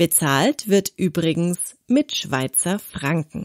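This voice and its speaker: A woman's fairly low voice unfolds very slowly. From southern Germany, Konstanz. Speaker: language teacher podcaster. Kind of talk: scripted narration.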